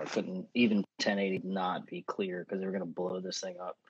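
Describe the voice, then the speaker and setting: A man with an American accent at a fairly quick pace, in a dry, close sound with no echo. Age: 30s. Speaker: photographer and filmmaker. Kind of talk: casual interview. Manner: halting, many fillers.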